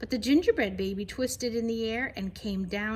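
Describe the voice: With ordinary pitch variation, the passage is read aloud plainly.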